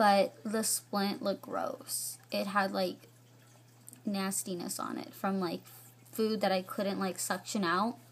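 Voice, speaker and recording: A woman speaks at a very slow pace and a medium pitch, her intonation lively and her voice showing vocal fry. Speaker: vlogger. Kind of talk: casual vlog.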